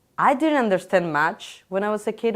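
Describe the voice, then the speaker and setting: With a Spanish accent, a woman talks in a fairly high pitch. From Chile. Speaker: interviewee. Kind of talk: casual interview. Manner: halting.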